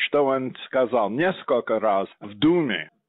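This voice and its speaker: With an English accent, this man's pitch swings very widely. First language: English (speaking Russian). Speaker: historian, think tank head. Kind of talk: interview.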